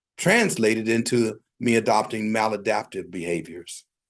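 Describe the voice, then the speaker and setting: Speaking in an American accent, a man keeps to a fairly slow rate. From US Midwest, Nebraska. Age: 60s. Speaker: recovery group speaker. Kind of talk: personal testimony at a support meeting. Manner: halting, many fillers.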